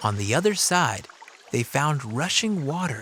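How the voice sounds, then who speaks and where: A man speaks at a fairly slow pace in a fairly high voice, his pitch swinging very widely over noticeable background noise. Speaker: audiobook narrator. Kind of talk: children's audiobook narration.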